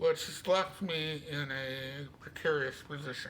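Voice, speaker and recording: Amid audible room echo and noticeable background noise, a man speaks at a very slow pace with fairly even intonation. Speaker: vlogger sharing medical journey. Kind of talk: personal video diary. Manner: casual, conversational.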